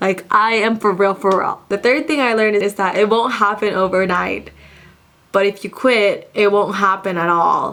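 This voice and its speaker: The voice has a bright, sharp tone, fairly even intonation and a moderate pace. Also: woman, medium pitch for a woman. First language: not English. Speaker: content creator. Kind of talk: casual sit-down monologue.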